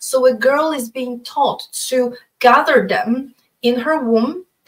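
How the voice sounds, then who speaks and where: The woman speaking has a high pitch. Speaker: astrologer and researcher. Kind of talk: interview conversation. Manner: halting.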